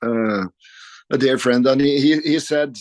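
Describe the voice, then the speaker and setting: A man's speech comes at a moderate pace, set against a quiet background. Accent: Norwegian. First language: Norwegian. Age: 50s. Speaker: rock guitarist. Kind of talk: interview. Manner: halting.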